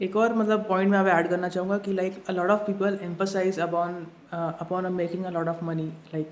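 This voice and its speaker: His pitch is high for a man. The man's intonation stays monotone and flat. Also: moderate pace. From India. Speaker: YouTube marketing channel host. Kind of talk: interview, casual chat. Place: home room. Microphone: studio mic.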